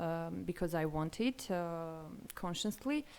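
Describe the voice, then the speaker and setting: A woman with an Armenian accent, fairly low in pitch with ordinary pitch variation at a fairly slow pace, on a very clean recording with a silent background. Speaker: language learner. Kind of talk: interview. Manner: halting.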